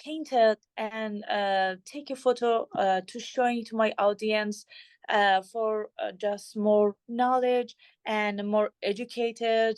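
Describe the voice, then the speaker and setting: A woman talks very slowly in a fairly high voice with ordinary pitch variation, in a dry, close sound with no echo and a quiet background. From Iran. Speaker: visual artist. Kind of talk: artist talk with Q&A. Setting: gallery opening reception with audience. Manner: halting, many fillers.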